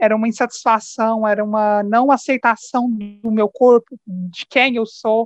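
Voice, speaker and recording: A woman speaks in an unremarkable speaking voice with a fairly high pitch, at a fairly slow pace with hardly any pauses. The sound is dry and close with no echo. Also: fairly even intonation. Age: 20s. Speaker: podcast guest. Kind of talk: casual chat.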